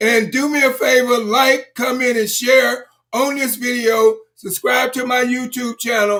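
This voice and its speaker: A man's raised, projected voice, extremely high in pitch, bright and sharp in tone, monotone and flat, with hardly any pauses. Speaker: motivational speaker. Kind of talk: motivational livestream talk. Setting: live stream. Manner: halting with repetitions.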